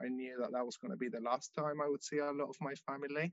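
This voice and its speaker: Someone with a Spanish accent talks at a fairly quick pace in a dry, close sound with no echo. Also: man. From Venezuela. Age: 20s. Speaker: Venezuelan immigrant. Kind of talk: interview.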